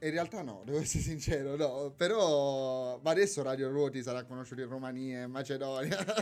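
A man with an unremarkable speaking voice talks at medium pitch and a fairly quick pace, with hardly any pauses. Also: ordinary pitch variation. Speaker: university student and Erasmus project volunteer. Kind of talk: casual radio interview. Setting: radio studio.

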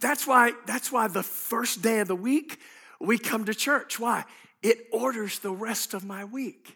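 A man speaks in a raised, projected voice at a fairly slow pace, his pitch extremely high with ordinary variation and his tone bright and sharp, on a very clean recording with a silent background. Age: 50s. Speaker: pastor. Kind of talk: sermon. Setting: church. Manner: animated.

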